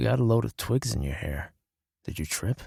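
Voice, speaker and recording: Raspy, very deep put-on character voice from a man, fairly quick, with very wide pitch swings and a dry, close sound with no echo. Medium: read story. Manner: warm, easygoing.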